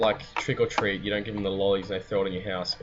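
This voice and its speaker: With music playing in the background, a man in an Australian accent talks at a very fast pace. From Sydney, Australia. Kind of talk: casual talk to camera.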